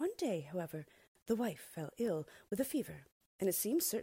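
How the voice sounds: It is a natural reading voice. The background is quiet.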